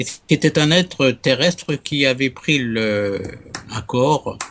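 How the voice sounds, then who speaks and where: Mid-range male voice, normal rise and fall in pitch. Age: 70s. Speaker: ufo researcher and amateur astronomer. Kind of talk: interview testimony. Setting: Skype call. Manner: halting, many repetitions.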